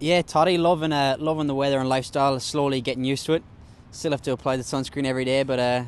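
A man with an Irish accent speaks very fast with fairly even intonation in a dry sound with no echo. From Ireland (County Mayo). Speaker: professional Australian rules footballer. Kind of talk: casual interview. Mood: relaxed, joking. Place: stadium. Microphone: handheld.

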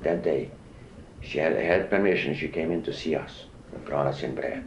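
The man keeps a moderate pace while audible room echo hangs around his words. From Czechoslovakia. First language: not English. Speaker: Holocaust survivor. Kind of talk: oral history interview. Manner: halting.

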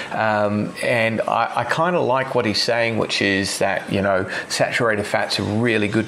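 A man with an Australian accent speaks at a fairly low pitch. Background noise is noticeable. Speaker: chiropractor. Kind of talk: casual chat. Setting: video call.

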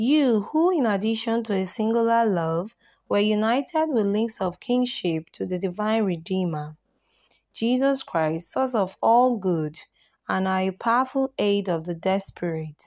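A woman with a normal speaking voice talks at a fairly slow pace and medium pitch, her intonation lively, on a very clean recording with a silent background. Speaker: prayer channel host. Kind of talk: fervent devotional prayer, read aloud in a pleading, reverent petition. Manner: earnest, solemn, imploring.

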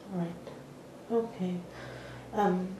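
A woman is speaking with audible room echo. Light background noise can be heard. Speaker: oral history interviewer. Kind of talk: interview questions. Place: meeting room.

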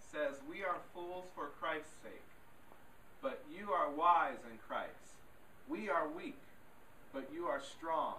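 Speaking at a very slow pace with long, frequent pauses, a man uses a high pitch and lively intonation, with audible room echo and light background noise. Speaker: scripture reader. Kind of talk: reading aloud. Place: church.

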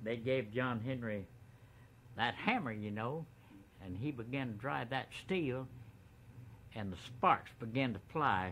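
A man with a bright, sharp tone and ordinary pitch variation is heard over light background noise. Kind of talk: storytelling interview. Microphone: old recording.

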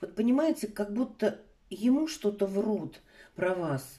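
This woman speaks at a medium pitch with a dark, mellow tone and lively intonation. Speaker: tarot reader. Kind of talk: online tarot reading. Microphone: phone near.

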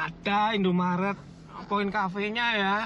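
This is a man speaking. His tone is fairly bright.

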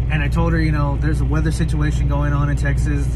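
A man talks through loud background noise. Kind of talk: casual vlog chat. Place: car. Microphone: phone near.

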